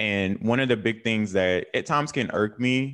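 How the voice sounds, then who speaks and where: With a Southern US accent, a man speaks at medium pitch and a fairly slow pace, with ordinary pitch variation over a quiet background. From North Carolina. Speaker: writer and media founder. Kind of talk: casual interview chat.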